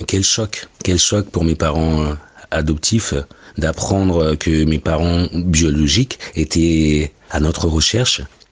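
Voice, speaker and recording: A man with a very deep, low pitch speaks very slowly. His intonation is fairly even and his loudness very even. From Mali, raised in France. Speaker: adoptee giving testimony. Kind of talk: testimony.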